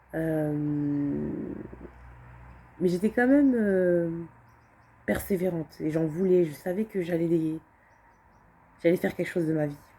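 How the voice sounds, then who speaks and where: With a dark, mellow tone and a fairly low pitch, a woman speaks at a fairly slow pace, using ordinary pitch variation and long, frequent pauses. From France, Alsace (Strasbourg area). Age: 20s. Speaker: vlogger. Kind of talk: personal testimony vlog. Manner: hesitant, many fillers and repetitions.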